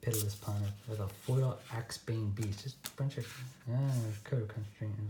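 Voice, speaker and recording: A man's put-on character voice, mumbling at a moderate pace and a medium pitch. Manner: mumbling to himself.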